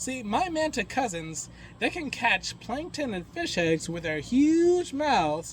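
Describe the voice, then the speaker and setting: In a cartoonish character voice pitched high, a man speaks fairly slowly over clear background noise. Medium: puppet show. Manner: upbeat, chatty.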